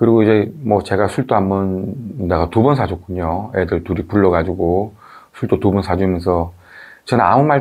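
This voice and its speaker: Against a quiet background, a man speaks in a fairly low pitch with ordinary pitch variation. His pace is moderate and his loudness very even. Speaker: video commentator. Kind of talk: talk-to-camera commentary. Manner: hesitant, many fillers.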